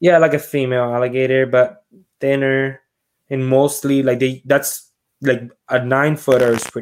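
Speaking in a Puerto Rican accent, a man keeps a medium pitch, monotone, flat intonation, and a moderate pace. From Puerto Rico. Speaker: reptile and alligator handler. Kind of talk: casual chat.

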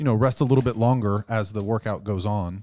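A dark, mellow tone at a moderate pace, fairly even intonation, dry and close with no echo, on a very clean recording with a silent background. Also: man. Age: 40s. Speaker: bodybuilding coach and sponsored athlete. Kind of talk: casual chat.

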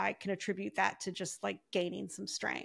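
In an American accent, a woman with an ordinary speaking voice talks at a moderate pace and medium pitch, on a very clean recording with a silent background. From US Midwest, Ohio. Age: 50s. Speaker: podcast guest, fitness client. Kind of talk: casual interview chat.

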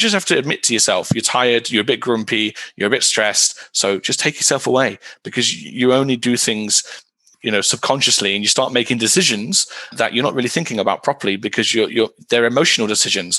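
Speaking very fast with a British accent, a man's medium-pitched voice has a bright, sharp tone, very even loudness and ordinary pitch variation. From UK. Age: 30s. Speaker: esports team director. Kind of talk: interview.

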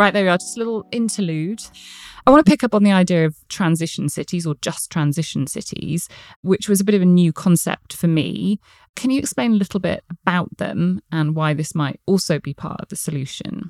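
Fairly quick speech with a southern English accent, big swings in loudness, and a dry, close sound without echo. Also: woman, fairly low pitch for a woman, lively intonation. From England, Gloucestershire. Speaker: podcast host, company CEO. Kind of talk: interview.

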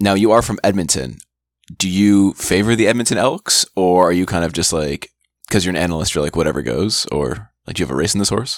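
A man with a very deep, low voice and some vocal fry, speaking at a fairly quick pace. His intonation is lively, and the sound is dry and close with no echo. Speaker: sports podcast co-host. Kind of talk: casual chat.

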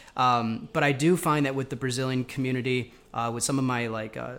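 In an American accent, this is a normal speaking voice. The pace is fairly quick. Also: man. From New York. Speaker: podcast host. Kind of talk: casual interview chat.

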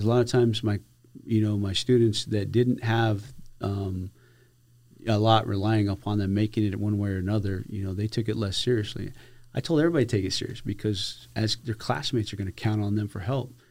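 A man with an American accent in a normal speaking voice, fairly low in pitch, at a fairly quick pace with fairly even intonation. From Arizona. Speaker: border patrol chief. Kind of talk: interview.

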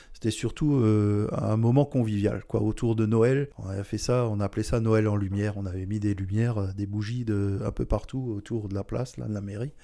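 A man talks at a moderate pace with hardly any pauses and fairly even intonation. His voice is fairly low in pitch, with a dark, mellow tone. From Alsace, France (Strasbourg). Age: 60s. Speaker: mayor. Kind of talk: interview.

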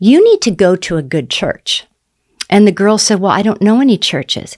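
Against a silent background on a very clean recording, a woman uses an ordinary speaking voice with lively intonation at a moderate pace. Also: dry, close sound with no echo. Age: 60s. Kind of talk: faith testimony interview.

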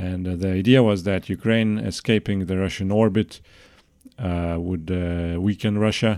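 With a Lithuanian accent, a man speaks at a fairly slow pace in a very deep, low pitch with fairly even intonation. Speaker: political researcher. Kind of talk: podcast interview. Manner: halting.

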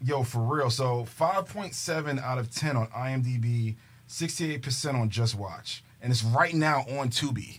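Somewhat breathy and medium in pitch, a man speaks at a fairly slow pace with ordinary pitch variation and hardly any pauses. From New York City, Queens. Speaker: movie podcast co-host. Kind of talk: casual chat. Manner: animated.

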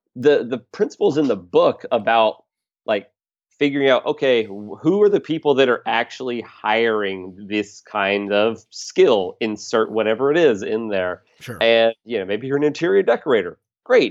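A man with an American accent has a normal speaking voice at a medium pitch with ordinary pitch variation. He speaks at a moderate pace over a quiet background. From US South, South Carolina near Charlotte. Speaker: digital marketing consultant and trained musician. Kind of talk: interview conversation.

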